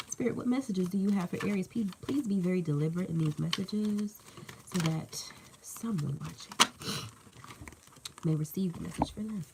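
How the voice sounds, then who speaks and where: A woman talks in an animated tone at medium pitch with ordinary variation and a moderate pace. She leaves long, frequent pauses over noticeable background noise. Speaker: tarot reader. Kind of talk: live tarot reading. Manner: casual, animated.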